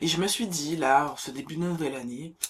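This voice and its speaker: A woman speaking at a fairly quick pace. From Martinique. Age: 20s. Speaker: book content creator. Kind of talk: casual vlog talk to camera. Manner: chatty, some hesitations.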